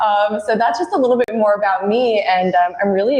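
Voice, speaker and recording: A woman talks in an American accent at a moderate pace. Noticeable background noise is present. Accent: American accent, noticeable in Australia. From United States. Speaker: recruitment consultant. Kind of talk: live webinar Q&A, professional chat.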